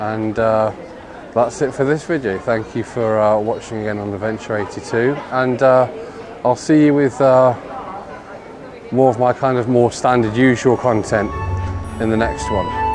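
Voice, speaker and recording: Crowd noise sits in the background as a man speaks fairly slowly, with long, frequent pauses. The sound is dry with no echo, and his pitch varies in an ordinary way. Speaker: travel vlogger. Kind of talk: casual vlog chat. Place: street. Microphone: phone near.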